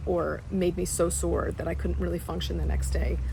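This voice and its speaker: A woman talks at a moderate pace. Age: 60s. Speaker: fitness client. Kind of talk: testimonial interview answer. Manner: hesitant, filler-heavy.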